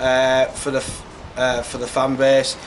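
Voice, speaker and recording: Over noticeable background noise, a man speaks at a medium pitch in a Yorkshire accent. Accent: Yorkshire (Hull). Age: young. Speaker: football manager. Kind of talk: interview. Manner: loud.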